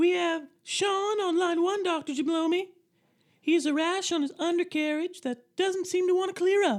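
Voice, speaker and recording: In a put-on character voice, a woman squeaks out her lines at an extremely high pitch. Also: moderate pace. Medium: comedy sketch.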